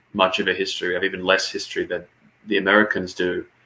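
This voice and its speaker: In an Australian accent, a man is talking. His speed is fairly quick. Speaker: political commentator. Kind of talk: casual political discussion. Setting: livestream.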